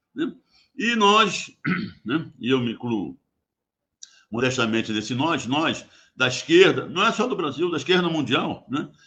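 Pausing long and often, a man speaks at a fairly slow pace with very wide pitch swings. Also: fairly high pitch for a man. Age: 80s+. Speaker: geologist, former oil company executive. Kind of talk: radio interview. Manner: halting, repeats words.

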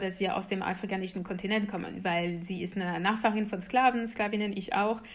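A woman with a French accent, medium pitch and fairly even intonation at a fairly quick pace, with audible room echo. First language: French (speaking German). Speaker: activist and political scientist, author. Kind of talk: interview.

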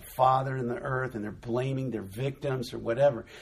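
Somewhat breathy, a man with an American accent and medium pitch talks at a moderate pace. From Southern California. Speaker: ministry founder. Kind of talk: casual chat. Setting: indoors by the ocean in Newport Beach.

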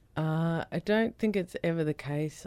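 The recording is very clean, with a silent background. A woman speaks with a very deep, low pitch. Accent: Australian. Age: 40s. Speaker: author and comedian with epilepsy. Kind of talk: radio interview.

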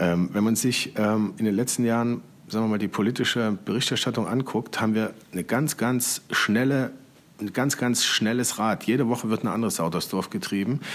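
A man talks at a moderate pace in a medium pitch with ordinary pitch variation and very even loudness, in a very clean recording with a silent background. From eastern Germany, Leipzig. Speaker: magazine editor-in-chief. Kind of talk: interview. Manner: halting, many fillers.

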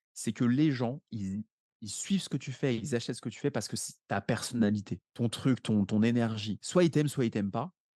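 A man speaks at a fairly quick pace in a medium pitch, his dark, mellow tone showing ordinary pitch variation in a dry, close recording with no echo. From France, Paris. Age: 30s. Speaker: real estate investor. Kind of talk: podcast interview. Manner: animated.

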